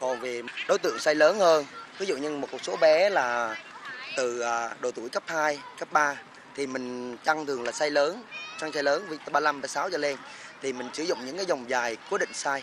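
Amid noticeable background noise, a man speaks at a moderate pace with ordinary pitch variation in a dry sound with no echo. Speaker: skating club coach. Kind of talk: interview answer. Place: waterside. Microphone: handheld.

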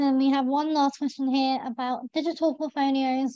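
A woman's high-pitched voice, with fairly even intonation, sounds dry with no echo over a quiet background. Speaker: webinar host. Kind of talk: webinar moderation. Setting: video call. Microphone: video call.

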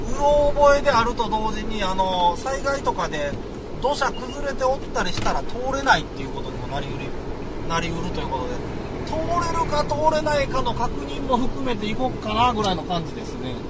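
A fairly quick pace over loud background noise. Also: man. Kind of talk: casual driving commentary. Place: car.

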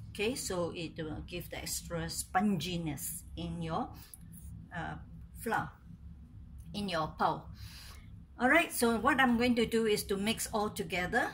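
Long, frequent pauses mark a woman's speech at a fairly slow pace. Light background noise can be heard. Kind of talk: tutorial. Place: kitchen. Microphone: phone near.

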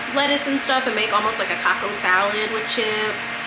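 Loud background noise nearly covers a woman as she talks. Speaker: vlogger. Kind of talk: casual vlog chat. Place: home room. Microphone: camera far.

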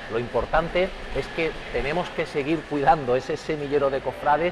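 Over clear background noise, a man talks at a fairly slow pace.

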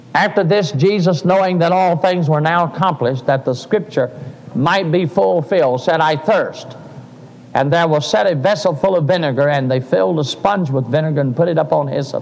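A man at a moderate pace, with ordinary pitch variation and very even loudness. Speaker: preacher. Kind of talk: sermon. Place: church.

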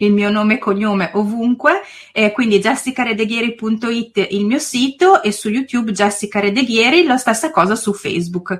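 The woman's fairly high voice shows ordinary pitch variation as she talks at a moderate pace. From northern Italy, province of Reggio Emilia. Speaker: preschool teacher and YouTuber. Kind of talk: interview.

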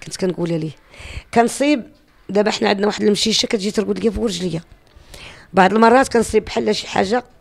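A woman's very fast speech with vocal fry, ordinary pitch variation, and long, frequent pauses. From Morocco. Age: 50s. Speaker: YouTuber and cemetery-cleanup volunteer; YouTuber. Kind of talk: personal testimony. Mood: earnest, animated storytelling. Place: home room. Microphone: handheld.

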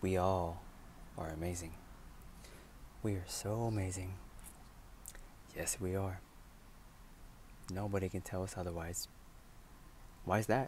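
A soft-spoken man with a very deep, low voice talks at a moderate pace, somewhat breathy. Light background noise can be heard. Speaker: vlogger. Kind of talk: ASMR affirmation talk to camera. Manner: encouraging. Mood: warm, upbeat, encouraging. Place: car. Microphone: earbuds.

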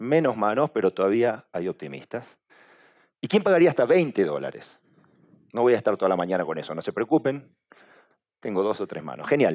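A man at a medium pitch, with vocal fry and very wide pitch swings, is heard over a quiet background. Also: fairly quick pace. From Argentina. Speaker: communication agency director, conference speaker; conference speaker. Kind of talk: conference talk. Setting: stage with audience. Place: hall. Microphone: headset.

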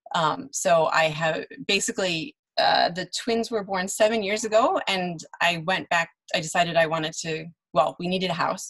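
At a moderate pace, a woman with a Chicago accent speaks at a medium pitch with ordinary pitch variation. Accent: Chicago American English. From US Midwest, Chicago. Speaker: translator and interpreter. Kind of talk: panel interview.

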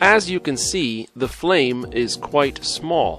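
Music plays in the background as someone with an American accent speaks at a very slow pace, the pitch swinging very widely. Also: man. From Missouri, USA. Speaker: English teacher. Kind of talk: ESL video lesson narration.

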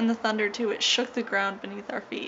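A woman's voice with fairly even intonation amid noticeable background noise. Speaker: vlogger. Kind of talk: casual vlog chat. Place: home room. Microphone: phone near.

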